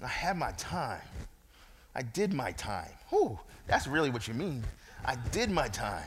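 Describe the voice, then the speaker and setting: Vocal fry and very wide pitch swings mark this American-accented speech, with long, frequent pauses and audible room echo. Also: man, medium pitch for a man, fairly slow pace. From Brooklyn, New York. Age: 40s. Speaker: guest preacher. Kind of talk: sermon. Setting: church. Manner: animated.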